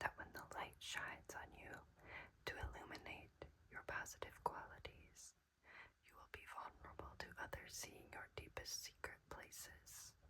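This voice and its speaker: Someone whispers at a fairly slow pace. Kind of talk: ASMR oracle card reading. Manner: whispered.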